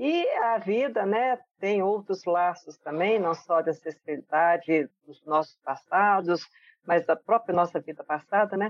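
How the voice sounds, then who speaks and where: A woman with a normal speaking voice talks at a medium pitch and a fairly slow pace with ordinary pitch variation. Her loudness swings widely, and the sound is dry and close with no echo. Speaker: guest, aunt of the co-host. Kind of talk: casual chat.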